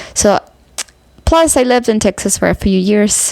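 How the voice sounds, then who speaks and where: Over noticeable background noise, a woman talks at a fairly slow pace with ordinary pitch variation. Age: 30s. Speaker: vlogger, amateur musician. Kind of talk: personal vlog, grief talk. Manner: halting, many fillers.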